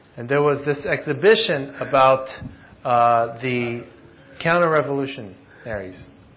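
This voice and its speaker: Noticeable background noise sits behind a man speaking at a fairly slow pace and medium pitch, with ordinary pitch variation. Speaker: interpreter. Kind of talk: consecutive interpretation. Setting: church.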